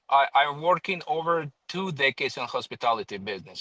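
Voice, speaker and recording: A man with a Croatian accent has a bright, sharp tone in a dry, close sound with no echo. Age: 40s. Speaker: professional private driver. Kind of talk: casual interview. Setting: live stream.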